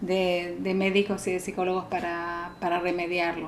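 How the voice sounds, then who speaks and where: Noticeable background noise surrounds a woman speaking at medium pitch. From Argentina. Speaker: psychologist. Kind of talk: talk. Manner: halting.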